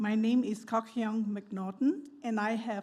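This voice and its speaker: Her pitch fairly high, a woman speaks at a fairly slow pace, somewhat breathy, in a dark, mellow tone. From Malaysia. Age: 70s. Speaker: church member. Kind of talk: personal testimony speech. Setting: church service.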